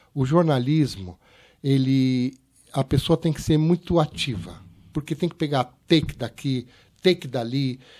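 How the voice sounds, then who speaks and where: A fairly high-pitched man with a dark, mellow tone speaks at a fairly slow pace, leaving long, frequent pauses. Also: ordinary pitch variation, quiet background. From born in Paris, raised partly in Israel, in Brazil since 1970. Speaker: TV director and producer; podcast guest. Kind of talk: interview. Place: studio. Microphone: studio mic.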